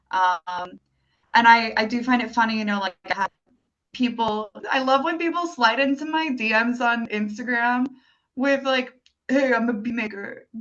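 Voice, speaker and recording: A woman's ordinary speaking voice, fairly high in pitch, with ordinary pitch variation at a moderate pace. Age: 30s. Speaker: independent musician. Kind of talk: casual interview chat.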